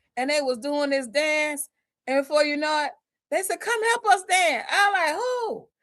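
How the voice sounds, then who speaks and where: A woman speaks in an animated tone. Her pace is moderate. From US South. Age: 60s. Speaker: fashion designer. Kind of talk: casual chat. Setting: live stream.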